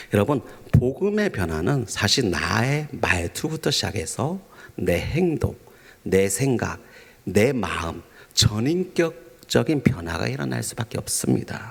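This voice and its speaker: A man talks at a very slow pace in a gentle tone. His medium pitch moves in very wide pitch swings. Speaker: pastor. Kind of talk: sermon. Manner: formal, gentle preaching tone.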